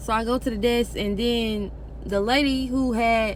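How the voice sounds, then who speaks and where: Speaking at a fairly slow pace, a woman with a fairly high pitch has an animated tone. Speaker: vlogger. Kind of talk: personal vlog storytelling.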